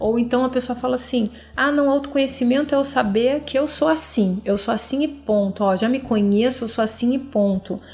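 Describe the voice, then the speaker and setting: A woman talks at a moderate pace with a high pitch, ordinary pitch variation and hardly any pauses. Her loudness stays very even, and there is noticeable background noise. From Brazil, Rio de Janeiro. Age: 30s. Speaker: podcast host. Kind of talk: solo self-help podcast talk.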